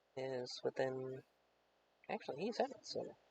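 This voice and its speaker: Talking at a fairly slow pace, this voice is soft-spoken. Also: man. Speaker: livestreamer and tabletop wargame player. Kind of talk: casual chat.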